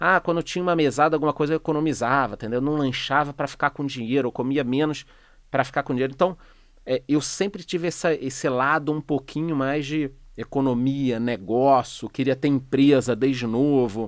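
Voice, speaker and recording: Fairly high in pitch, this man's voice shows ordinary pitch variation at a fairly quick pace. The sound is dry with no echo over a quiet background. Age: 40s. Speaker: economist and finance youtuber; finance youtuber. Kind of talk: casual interview chat. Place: studio. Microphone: studio mic.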